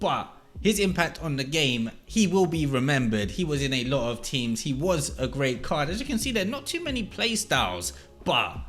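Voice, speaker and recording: A man speaks at medium pitch. His voice makes very wide pitch swings. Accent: English. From England. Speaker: gaming YouTuber. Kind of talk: scripted countdown commentary.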